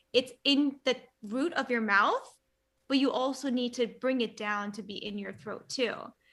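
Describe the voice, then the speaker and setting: Moderate pace and fairly even intonation. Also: woman, high pitch for a woman, big swings in loudness. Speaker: youtuber, language learner. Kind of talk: casual chat.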